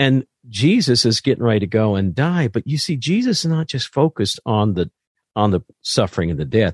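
A man with an American accent speaks at a medium pitch, fairly quickly, with very wide pitch swings. The sound is dry and close with no echo, over a quiet background. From US Midwest, southern Indiana. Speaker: pastor. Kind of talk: casual chat. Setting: video call.

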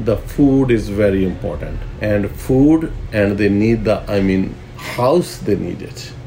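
A man speaks at a fairly slow pace in a fairly low pitch, with audible room echo and noticeable background noise. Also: ordinary pitch variation. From Pakistan, Punjab (Gujranwala). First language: Punjabi or Urdu. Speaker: restaurant owner. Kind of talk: interview. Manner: halting.

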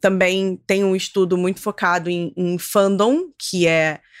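A woman with an unremarkable speaking voice talks fairly slowly at medium pitch with fairly even intonation, in a very clean recording with a silent background. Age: 30s. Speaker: writer. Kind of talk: casual chat.

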